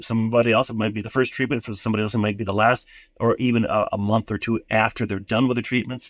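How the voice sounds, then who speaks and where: Speaking very fast with an Upper Midwest accent, a man keeps his intonation fairly even against a quiet background. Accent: Upper Midwest American. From US Midwest, southern Minnesota. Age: 60s. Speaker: retired Lutheran pastor. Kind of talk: interview testimony. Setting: phone call while traveling.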